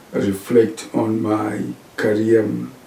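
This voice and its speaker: A man with a Zimbabwean accent at a very slow pace, over noticeable background noise. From Zimbabwe, eastern part. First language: Shona. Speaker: professor. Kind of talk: interview. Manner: hesitant, with many fillers.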